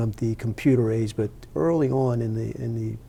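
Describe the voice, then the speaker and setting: A man with a New Jersey accent speaks at a moderate pace, his medium pitch rising and falling in an ordinary way. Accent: New Jersey American. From New Jersey, Montclair. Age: 60s. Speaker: retired computer professional. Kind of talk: interview. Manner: halting, many fillers.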